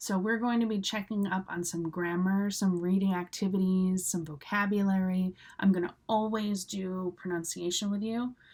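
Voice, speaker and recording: At a moderate pace with hardly any pauses, a woman with an American accent talks at a medium pitch in a monotone, flat intonation. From US Northeast, Cape Cod, Massachusetts. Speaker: English teacher. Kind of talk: live online English class. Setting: live stream. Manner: casual, with many fillers.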